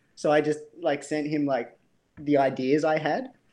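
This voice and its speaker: With an Australian accent, a man talks in a fairly high pitch. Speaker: bike brand co-founder, former plumber. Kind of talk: casual interview chat.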